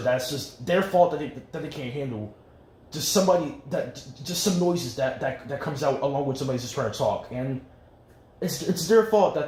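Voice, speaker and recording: Quick-paced and fairly high in pitch, a man speaks amid noticeable background noise and audible room echo. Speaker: vlogger. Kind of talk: casual monologue. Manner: fast; halting.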